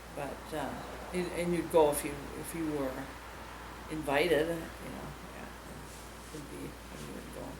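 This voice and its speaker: In an Upper Midwest accent, a woman with a very deep, low voice speaks at a fairly slow pace with long, frequent pauses and a monotone, flat intonation. Audible room echo and noticeable background noise come through. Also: big swings in loudness. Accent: Upper Midwest (Minnesota). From Minnesota, Greenfield area. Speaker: local resident interviewee. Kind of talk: oral history interview. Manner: halting.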